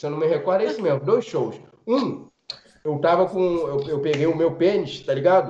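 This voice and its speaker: The pace of this man's talking is moderate. His voice sits high in pitch. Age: 30s. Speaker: comedian. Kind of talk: casual chat.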